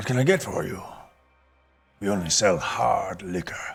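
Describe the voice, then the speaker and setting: A man's put-on character voice, fairly low in pitch, at a moderate pace over background music. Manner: welcoming, gruff innkeeper.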